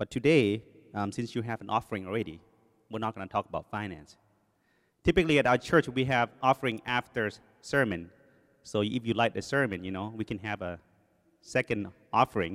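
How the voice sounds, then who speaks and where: In a Thai accent, a man speaks fairly quickly at a medium pitch, with long, frequent pauses. The sound is dry and close, with no echo. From Thailand. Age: 40s. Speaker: lay preacher, engineer. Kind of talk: sermon. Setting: church. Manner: speeds up when nervous.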